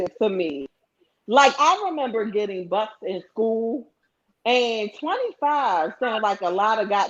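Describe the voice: This is plain reading aloud with lively intonation against a quiet background.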